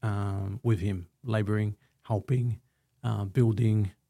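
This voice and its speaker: A man with an Australian accent, fairly low pitch and dark, mellow tone, speaking very slowly in a monotone, flat intonation. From Australia, Melbourne (Footscray/Altona). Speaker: construction company director. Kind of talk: casual interview chat.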